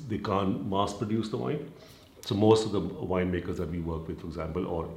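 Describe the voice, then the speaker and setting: A man's very deep, low voice at a fairly quick pace, with audible room echo. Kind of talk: interview answer. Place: shop.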